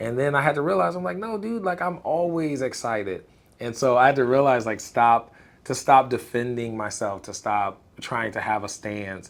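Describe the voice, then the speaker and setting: On a very clean recording with a silent background, a man with an American accent talks at a moderate pace. His medium pitch carries lively intonation. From Illinois, US Midwest. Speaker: content creator. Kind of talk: casual interview. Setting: live stream. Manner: loud; animated.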